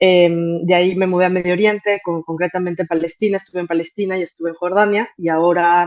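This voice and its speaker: With hardly any pauses, a woman speaks at a very fast pace in a monotone, flat intonation. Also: fairly low pitch for a woman. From Mexico. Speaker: migration NGO manager. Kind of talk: conference talk. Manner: hesitant, many fillers.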